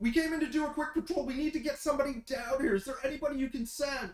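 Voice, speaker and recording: Using a put-on character voice, a man talks at a very fast pace and an extremely high pitch. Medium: actual play. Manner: urgent, frantic.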